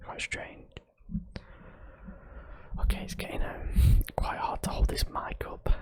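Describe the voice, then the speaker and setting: A man is whispering at a moderate pace over noticeable background noise. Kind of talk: ASMR exploration narration. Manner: casual, hesitant, relaxed.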